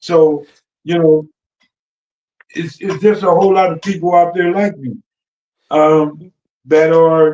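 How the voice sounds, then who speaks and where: A man's high-pitched voice, dark and mellow in tone, at a fairly slow pace with fairly even intonation and long, frequent pauses. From Los Angeles / Compton. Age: 60s. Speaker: former gang member and music industry enforcer. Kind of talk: podcast interview. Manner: repetitive stammering on words.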